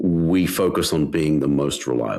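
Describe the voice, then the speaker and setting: A very clean recording with a silent background. A man is the one talking. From Australia, Western Sydney. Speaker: tech founder. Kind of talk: interview. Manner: halting, many repetitions.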